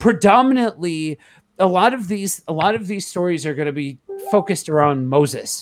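The speaker talks at a moderate pace with very wide pitch swings, captured in a very clean recording against a silent background. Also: man. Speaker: podcast host and panelist. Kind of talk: casual group Bible discussion.

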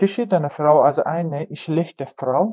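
A woman's fairly low voice at a fairly slow pace with fairly even intonation. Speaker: refugee interviewee, mother. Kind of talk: testimony.

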